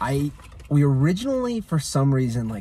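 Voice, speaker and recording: Somewhat breathy and dark and mellow in tone, a man speaks. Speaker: vlogger's fiancé. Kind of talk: casual chat. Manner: soft-spoken.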